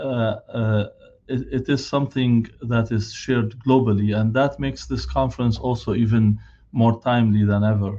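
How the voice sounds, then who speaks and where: A man talks at a moderate pace with a non-native accent. His pitch is medium, with ordinary variation. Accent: foreign. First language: not English. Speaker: physician and hospital director. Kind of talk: keynote speech. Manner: halting, many filler sounds.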